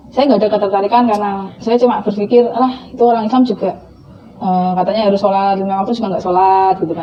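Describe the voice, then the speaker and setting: A woman talks very fast, with noticeable background noise behind her. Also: medium pitch for a woman. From Central Java (Blora), Indonesia. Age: 30s. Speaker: convert telling her story. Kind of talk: testimony interview. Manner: casual, with fillers.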